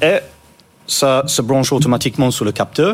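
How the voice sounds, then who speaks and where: A man's medium-pitched voice at a moderate pace, with a slight non-native accent. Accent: slight foreign. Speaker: startup co-founder. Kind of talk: interview. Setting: studio.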